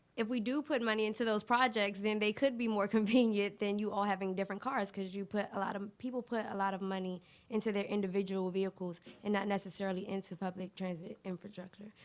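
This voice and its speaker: Speech comes at a very fast pace with fairly even intonation. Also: woman, medium pitch for a woman. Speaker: debate judge, transit organization representative. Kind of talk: feedback remarks to debaters. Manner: fast talker.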